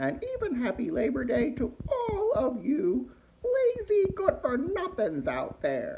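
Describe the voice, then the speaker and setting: A put-on character voice, high in pitch, speaks at a fairly slow pace. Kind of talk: comedic holiday greeting to camera. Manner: sassy, mouthy.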